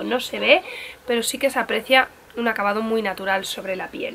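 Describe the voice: Fairly high-pitched woman at a fairly quick pace, fairly bright in tone, with faint background noise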